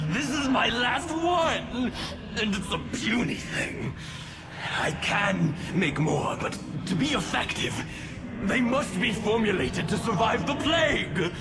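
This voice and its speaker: Over loud background noise, a man performs a put-on character voice with a high pitch at a fairly slow pace. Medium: game stream.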